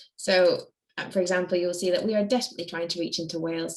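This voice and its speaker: A woman with a slight Scottish accent speaks very fast, her intonation fairly even. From Scotland. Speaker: charity staff member. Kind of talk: online Q&A. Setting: video call.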